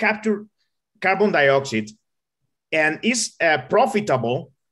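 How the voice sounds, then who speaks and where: A man with a Spanish accent speaks at a fairly slow pace in a high pitch, his tone bright and sharp. His pitch swings very widely against a quiet background. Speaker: engineer. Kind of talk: Q&A answer in online talk. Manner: halting.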